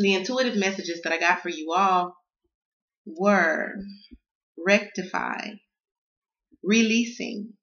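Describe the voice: A woman speaks slowly in a Southern US accent, at a medium pitch with a fairly bright tone. Her pauses are long and frequent, and room echo can be heard. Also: ordinary pitch variation. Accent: Southern American.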